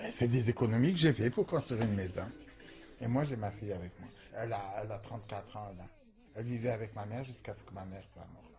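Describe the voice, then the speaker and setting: With music in the background, a man talks at a fairly quick pace. His medium pitch shows ordinary variation. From Algeria, small village. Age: 60s. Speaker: transgender sex worker interviewee. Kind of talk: documentary interview testimony.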